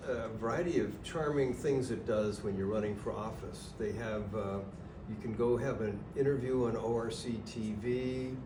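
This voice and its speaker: At a fairly slow pace, a man speaks at a medium pitch with ordinary pitch variation, with audible room echo and noticeable background noise. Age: 70s. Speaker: library trustee. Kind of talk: casual chat. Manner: halting.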